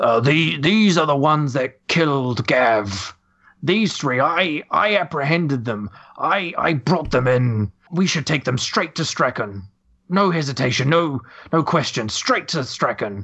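In a put-on character voice, a man talks at a moderate pace with a fairly high pitch. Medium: actual play. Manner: loud, stammering.

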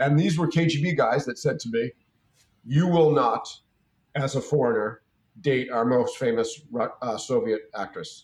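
A man speaks at a fairly slow pace and medium pitch, his voice somewhat breathy. He uses ordinary pitch variation and leaves long, frequent pauses. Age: 50s. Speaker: businessman. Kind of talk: interview.

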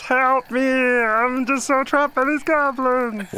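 A female-sounding, put-on character voice, high in pitch for a woman, moves at a fairly slow pace. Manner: pleading, distressed.

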